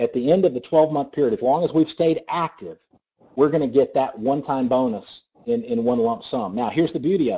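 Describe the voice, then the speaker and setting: A man with a Southern US accent, a dark, mellow tone, very wide pitch swings, and a fairly quick pace. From US South. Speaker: network marketing presenter. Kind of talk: sales pitch. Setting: conference call. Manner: fast; animated.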